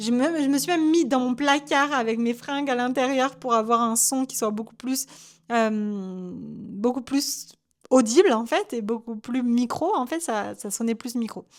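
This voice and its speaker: Her pitch high and her pitch variation ordinary, a woman speaks at a fairly slow pace in a very clean recording with a silent background. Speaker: UGC content creator and coach. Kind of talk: solo podcast monologue. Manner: halting.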